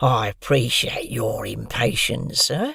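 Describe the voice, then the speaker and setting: A man puts on a raspy character voice and talks at a fairly slow pace. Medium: read story. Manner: curt, spiteful.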